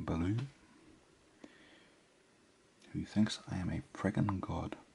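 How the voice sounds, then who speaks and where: A man speaks at a very slow pace in a fairly low voice, with light background noise behind him. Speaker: ASMR creator. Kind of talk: soft casual ramble while writing.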